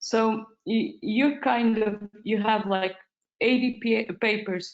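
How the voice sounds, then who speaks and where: Over music in the background, a woman speaks at a fairly slow pace with fairly even intonation. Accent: non-native. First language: not English. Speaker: medical doctor, paper reviewer. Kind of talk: webinar panel discussion. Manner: halting.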